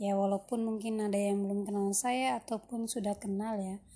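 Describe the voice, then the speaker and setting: The tone is dark and mellow, somewhat breathy. The pace is moderate. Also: woman. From West Sumatra (Minang, Pariaman family). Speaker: podcaster, housewife and writer. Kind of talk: solo podcast introduction. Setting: recorded late at night.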